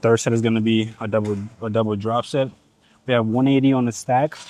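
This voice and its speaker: The speaker has a Nigerian accent and an animated tone. The sound is dry and close, with no echo. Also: man, very clean recording, silent background. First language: Igbo. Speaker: fitness vlogger. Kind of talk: casual gym vlog. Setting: gym.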